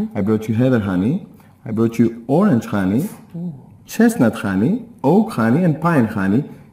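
A man with a Greek accent speaks in a dark, mellow tone at a fairly slow pace. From Greece. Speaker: beekeeper. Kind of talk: live TV shopping presentation. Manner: enthusiastic, conversational. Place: studio. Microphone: lapel.

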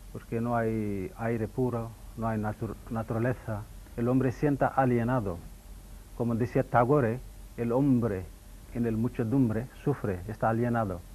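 Fairly slow and fairly even in intonation, a man talks. His tone is dark and mellow. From India, Mangalore. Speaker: yoga and ayurveda teacher. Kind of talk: TV interview. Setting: TV studio. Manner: halting. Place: studio. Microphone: lapel.

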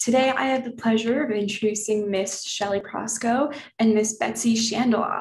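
In a room with audible echo, a woman speaks at a fairly high pitch with a somewhat breathy voice and fairly even intonation. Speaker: session host. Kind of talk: event introduction. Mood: warm, welcoming. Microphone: video call.

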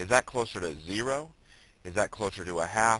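Over a quiet background, a man speaks at a moderate pace with lively intonation and a bright, sharp tone. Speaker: teacher. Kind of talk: tutorial.

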